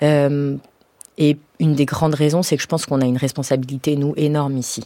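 Her tone dark and mellow, a woman speaks at a moderate pace in a very deep, low pitch. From French suburbs, Iranian family. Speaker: playwright and stage director. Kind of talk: radio interview. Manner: casual, many fillers.

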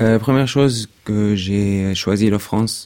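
Speaking with an Arabic accent, this man has a dark, mellow tone. His pace is very slow. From Syria (Damascus), partly raised in Dubai. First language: Arabic (speaking French). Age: 20s. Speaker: refugee, former law student. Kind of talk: testimony. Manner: halting.

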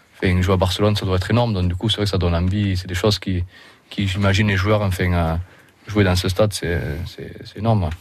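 A man with a southern French accent and a very deep, low pitch, somewhat breathy, at a very fast pace with monotone, flat intonation. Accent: southern French accent in his English. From southern France. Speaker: rugby league player. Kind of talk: radio interview. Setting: radio studio.

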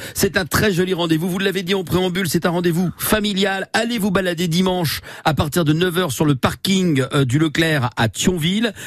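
A man with a high-pitched voice talks at a moderate pace, his pitch moving in an ordinary way and his loudness very even, over noticeable background noise. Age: 50s. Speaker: radio host. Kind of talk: radio interview. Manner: hesitant with repetitions.

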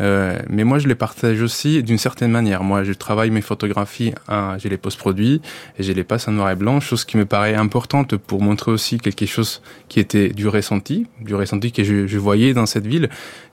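At a fairly quick pace, a man with a fairly low pitch keeps his intonation fairly even and his loudness very even. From Colombia. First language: Spanish (speaking French). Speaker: photographer and anthropologist. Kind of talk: interview. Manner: halting, many hesitations.

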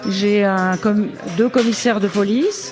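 Over crowd noise in the background, the speech moves at a moderate pace with ordinary pitch variation. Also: woman. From Burgundy, France (Côte-d'Or, near Dijon). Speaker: author and retired police commissioner. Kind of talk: radio interview. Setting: live radio broadcast from a café.

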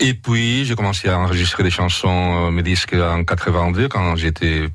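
The speech moves at a very slow pace, its intonation lively. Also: man. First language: Catalan (speaking French). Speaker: singer and translator. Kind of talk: radio interview. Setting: studio. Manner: halting.

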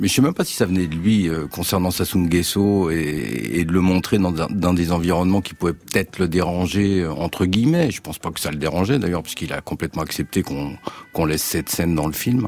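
Over noticeable background noise, a man with a very deep, low pitch speaks at a fairly quick pace with ordinary pitch variation. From western France, Nantes. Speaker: documentary filmmaker. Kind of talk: casual chat. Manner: halting.

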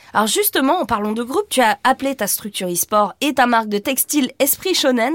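Her high voice swings very widely in pitch as this woman talks at a fairly quick pace. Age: 50s. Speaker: podcast host. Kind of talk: studio discussion.

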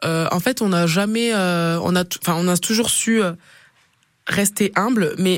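Her medium-pitched voice is captured on a very clean recording, the background silent, as a woman speaks. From Perpignan, southern France. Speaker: rugby player. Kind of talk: interview. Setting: radio studio.

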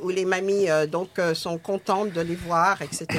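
With monotone, flat intonation, a woman keeps to a fairly slow pace. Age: 60s. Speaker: retired nurse and actress. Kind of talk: casual chat.

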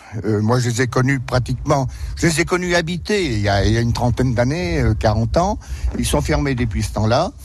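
Over noticeable background noise and audible room echo, a man speaks at a medium pitch and a fairly quick pace. His pitch swings very widely while his loudness stays very even. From France, Berry (Indre). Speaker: village mayor, retired farmer. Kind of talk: radio interview on a walking tour. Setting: outdoors, walking through the village. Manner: hesitant, many fillers.

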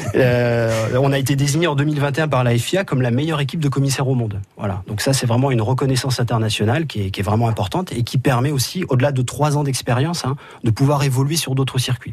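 Ordinary pitch variation shapes the very fast delivery. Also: man. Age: 30s. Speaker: motorsport track marshal. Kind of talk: radio interview. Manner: hesitant, with fillers and repetitions.

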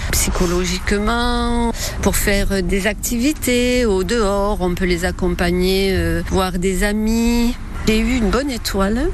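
A woman's medium-pitched voice at a very slow pace with fairly even intonation, audible room echo and noticeable background noise. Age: 60s. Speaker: retired home care worker. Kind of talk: interview testimony.

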